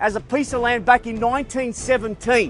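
A man talks with a high pitch for a man over clear background music. The sound is dry with no echo. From Australia. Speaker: auctioneer. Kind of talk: auctioneer opening address to crowd. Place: garden.

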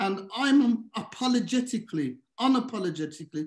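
Fairly slow speech from a man, with a quiet background. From Birmingham, England. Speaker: governance expert and presenter; presenter. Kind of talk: presentation. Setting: video call. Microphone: webcam.

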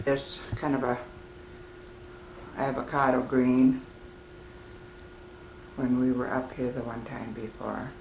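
There is light background noise. Some room echo can be heard. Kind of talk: casual walk-through narration. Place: home room. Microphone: old recording.

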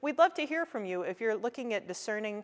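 Fairly quick female speech over a quiet background. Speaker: pastor. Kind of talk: worship welcome and announcements. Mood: warm, welcoming. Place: church.

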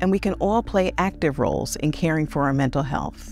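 A woman's very deep, low-pitched voice, dry with no echo, over faint music. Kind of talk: public service message. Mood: warm, calm, earnest. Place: studio. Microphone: lapel.

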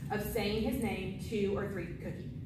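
A woman talks at a moderate pace with audible room echo and clear background noise.

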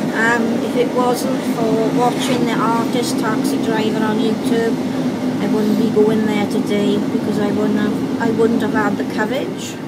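A woman at a fairly slow pace, heard over loud background noise. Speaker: first-time protester. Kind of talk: casual talk to camera. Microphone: phone near.

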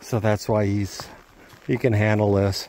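A man talks at a fairly slow pace, and the sound is dry with no echo. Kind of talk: casual vlog chat. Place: forest. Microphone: phone near.

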